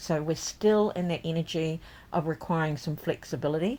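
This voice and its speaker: A woman's plain, everyday voice at a moderate pace with ordinary pitch variation, in a very clean recording with a silent background. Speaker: tarot reader and deck creator. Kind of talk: tarot forecast reading. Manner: casual, with frequent fillers.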